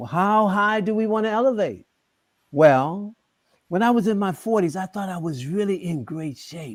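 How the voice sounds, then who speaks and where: A man's high-pitched voice on a very clean recording with a silent background. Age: 70s. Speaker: kemetic yoga teacher and healer. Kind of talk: panel talk addressed to audience. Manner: animated, call-and-response with audience.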